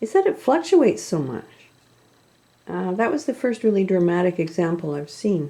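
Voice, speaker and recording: Long, frequent pauses break up speech that otherwise keeps a moderate pace. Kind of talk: casual commentary to camera.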